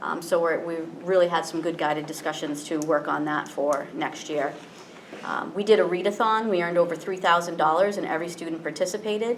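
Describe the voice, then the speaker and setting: Talking at a fairly quick pace with fairly even intonation, a woman with an American accent is heard over noticeable background noise and audible room echo. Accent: slight Cape Cod accent slipping through. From Cape Cod, Massachusetts. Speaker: school principal. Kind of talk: presentation at school committee meeting. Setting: public committee meeting. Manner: fast; many fillers and repetitions.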